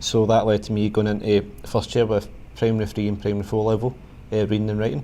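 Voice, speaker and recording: A dark, mellow tone in a Glaswegian accent, very fast and monotone with flat intonation. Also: man, fairly low pitch for a man. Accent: Glaswegian Scottish. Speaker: quantity surveyor. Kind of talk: interview. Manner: halting.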